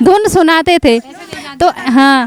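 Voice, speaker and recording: A woman's voice, dry and close with no echo. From Uttarakhand. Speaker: interpreter.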